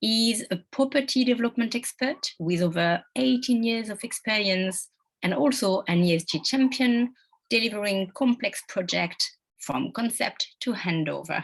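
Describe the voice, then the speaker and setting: With a French accent, a woman talks at a moderate pace in a fairly high, somewhat breathy voice with lively intonation. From France. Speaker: webinar moderator. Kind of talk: panel moderation.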